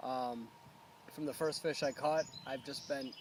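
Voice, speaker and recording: A man talks at a moderate pace with an American accent. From upstate New York (Endwell). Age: 30s. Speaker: competitive angler. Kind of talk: casual personal interview. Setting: outdoors by a pond. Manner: halting, many fillers.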